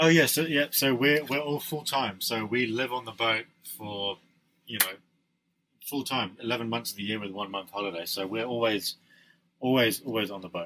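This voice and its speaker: A man with a bright, sharp tone speaks at a medium pitch and moderate pace. His delivery has ordinary pitch variation and long, frequent pauses. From Dubai and New Zealand. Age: 20s. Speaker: yacht crew member and personal finance blogger. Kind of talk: interview. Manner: halting.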